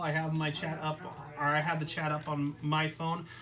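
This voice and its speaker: Audible room echo hangs around the voice. Noticeable background noise runs underneath. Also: man. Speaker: card game youtuber. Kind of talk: live stream casual card game play. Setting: live stream, in person across a table. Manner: halting, repeats words.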